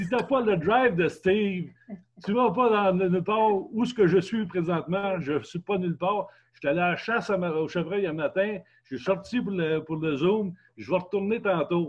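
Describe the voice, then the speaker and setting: High male speech at a moderate pace, its pitch varying in an ordinary way. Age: 70s. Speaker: longtime product user. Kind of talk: testimony. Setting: video call.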